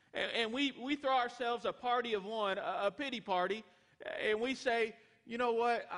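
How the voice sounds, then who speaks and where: With an American accent, a man speaks at a moderate pace in a high-pitched voice with a bright, sharp tone and ordinary pitch variation. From Texas. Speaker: pastor. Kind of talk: sermon. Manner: halting, frequent repetitions.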